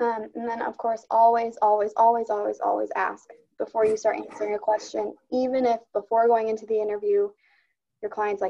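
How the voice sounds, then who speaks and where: A woman with a fairly high pitch and a dark, mellow tone speaks fairly quickly in a monotone, flat intonation. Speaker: employment specialist trainer. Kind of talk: online training presentation. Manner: fast.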